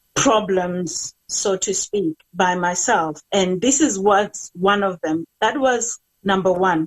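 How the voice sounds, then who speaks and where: A woman at a very slow pace, with hardly any pauses. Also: medium pitch for a woman, ordinary pitch variation. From South Africa, Limpopo. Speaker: cancer survivor and author. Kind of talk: testimony. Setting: live online stream. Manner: halting.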